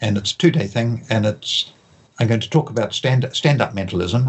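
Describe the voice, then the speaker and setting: A somewhat breathy voice at a moderate pace, with ordinary pitch variation. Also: man. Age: 70s. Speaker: author and mentalist. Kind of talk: interview.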